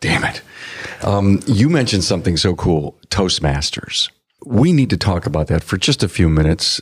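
Very deep, low pitch from a man, lively intonation and very even loudness, in a dry, close sound with no echo. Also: moderate pace. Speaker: podcast host. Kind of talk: interview intro and conversation. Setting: conference, recorded live at a trade event.

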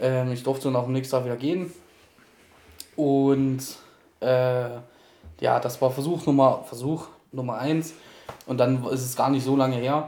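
A man of medium pitch with monotone, flat intonation, a moderate pace and long, frequent pauses. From Thuringia, Germany. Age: 30s. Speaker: podcast guest. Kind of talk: personal testimony.

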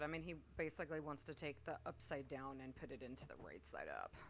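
In a very deep, low pitch with vocal fry, a woman talks at a fairly quick pace with hardly any pauses. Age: 40s. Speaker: podcast co-host, guest. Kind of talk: casual chat.

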